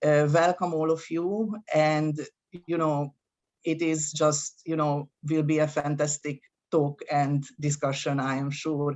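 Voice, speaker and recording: Very slow and monotone, a woman speaks with flat intonation in a very deep, low pitch. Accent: non-native. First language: not English. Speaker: university associate dean. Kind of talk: welcome address. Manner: hesitant, many fillers.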